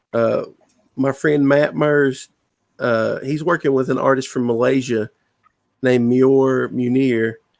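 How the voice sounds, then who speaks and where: A man with a Southern US accent speaks fairly slowly at a medium pitch, with ordinary pitch variation. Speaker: comic book writer. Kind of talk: casual chat. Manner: halting, with repeated words.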